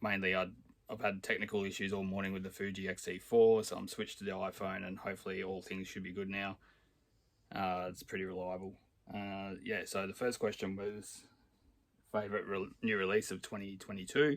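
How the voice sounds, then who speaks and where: A man speaks at a fairly quick pace with an Australian accent. His pitch is fairly low and his intonation monotone and flat. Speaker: record collector. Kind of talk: casual talk to camera.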